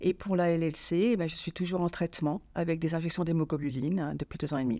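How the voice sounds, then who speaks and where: In a very clean recording with a silent background, a woman talks very fast at a fairly low pitch, her tone dark and mellow and her intonation fairly even. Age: 60s. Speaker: patient giving testimony. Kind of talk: interview testimony.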